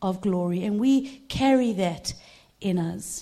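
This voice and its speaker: A woman speaks in a dark, mellow tone that is somewhat breathy. Her intonation is lively. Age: 50s. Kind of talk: sermon.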